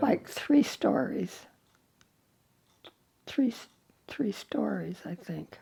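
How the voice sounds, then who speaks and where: With an American accent, a woman speaks at a very slow pace, leaving long, frequent pauses. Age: 80s+. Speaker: Greatest Generation. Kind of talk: interview answer.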